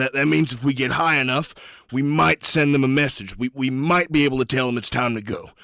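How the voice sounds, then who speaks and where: Putting on a raspy character voice, a man talks at a medium pitch and moderate pace with ordinary pitch variation. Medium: actual play. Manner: blunt, urgent.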